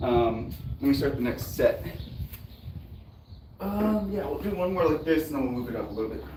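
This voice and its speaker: Over noticeable background noise and audible room echo, a man speaks at a fairly high pitch and a moderate pace. His pitch swings very widely, and he takes long, frequent pauses. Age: 30s. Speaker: fitness youtuber. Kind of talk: casual chat. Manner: casual, filler-heavy.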